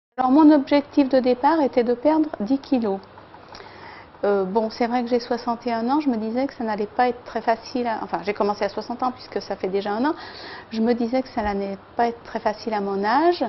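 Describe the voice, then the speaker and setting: With noticeable noise behind her, a woman's high voice shifts in pitch in a typical way. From Lyon region, France. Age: 60s. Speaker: diet program client. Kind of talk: testimony. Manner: hesitant, many fillers.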